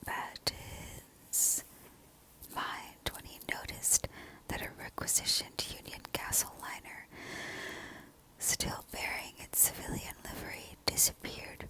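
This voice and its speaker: Whispering at a fairly slow pace with long, frequent pauses, over noticeable background noise. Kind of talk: whispered audiobook-style reading of a book passage. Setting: home recording with background noise such as planes and a heater. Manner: whispered.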